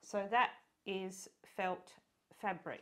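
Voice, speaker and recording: A woman with an Australian accent talks at a medium pitch. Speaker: sewing pattern designer and illustrator. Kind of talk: tutorial. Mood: warm, relaxed.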